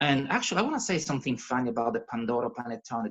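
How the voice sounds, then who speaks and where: A man speaks with a Calabrian accent. His pitch swings very widely. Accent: Italian (Calabrian). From Calabria, southern Italy. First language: Italian. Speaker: cooking presenter. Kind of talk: casual talk on a video call. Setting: video call. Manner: animated; halting.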